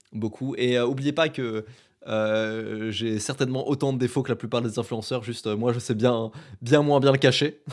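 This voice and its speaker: Here a man has an ordinary speaking voice. He keeps a moderate pace and fairly even intonation. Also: medium pitch for a man. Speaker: podcaster and YouTuber. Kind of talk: solo podcast monologue. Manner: casual, filler-heavy.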